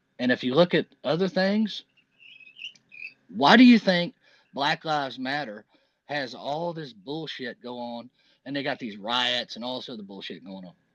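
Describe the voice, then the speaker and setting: A man speaks at a moderate pace in a fairly high pitch, with lively intonation, long and frequent pauses, big swings in loudness, and a dry, close sound with no echo. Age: 50s. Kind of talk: casual chat.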